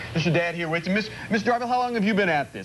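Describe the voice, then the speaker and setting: Against noticeable background noise, a man speaks in an animated tone. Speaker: TV morning show field reporter. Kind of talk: live TV field segment, casual interview. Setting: automotive machine shop. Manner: animated, talks with his hands.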